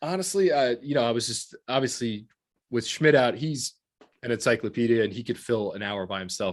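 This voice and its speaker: The recording is very clean with a silent background as a man speaks at a medium pitch. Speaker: watch podcast host. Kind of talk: casual chat. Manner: fast.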